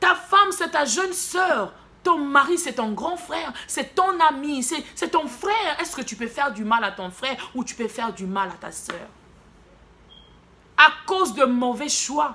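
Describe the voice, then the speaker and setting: A woman speaks in a raised, projected voice at a fairly slow pace. Her pitch swings very widely over noticeable background noise. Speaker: prophetess, preacher. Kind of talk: sermon.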